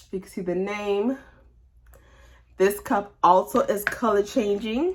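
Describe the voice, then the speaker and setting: A woman with an ordinary speaking voice, medium pitch, ordinary pitch variation and a fairly slow pace. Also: big swings in loudness. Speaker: crafter showing a cup customization. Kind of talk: crafting walkthrough voiceover. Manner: casual, chatty.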